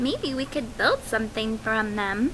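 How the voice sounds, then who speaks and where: A woman uses a put-on character voice with a fairly high pitch. She talks at a moderate pace over clear background noise. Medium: read story.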